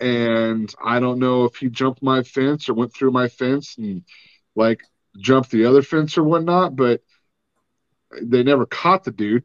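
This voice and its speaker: Pausing long and often, a man speaks with ordinary pitch variation in a dry, close sound with no echo. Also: medium pitch for a man, quiet background. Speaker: podcast host. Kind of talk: casual interview.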